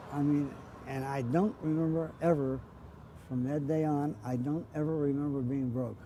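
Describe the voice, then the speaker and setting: With an American accent, a man speaks at a moderate pace in a fairly high pitch, his dark, mellow tone and fairly even intonation carried by audible room echo. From Pittsburgh, Pennsylvania, US. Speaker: interviewee recalling childhood. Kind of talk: oral history interview. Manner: halting, repeats words.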